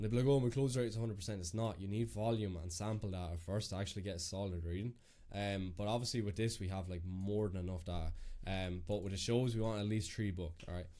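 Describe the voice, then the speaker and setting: In an Irish accent, a man speaks at a very fast pace with a fairly low pitch, a dark, mellow tone and fairly even intonation, with audible room echo around him. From Ireland. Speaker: business coach. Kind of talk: screen-share walkthrough. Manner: casual, filler-heavy.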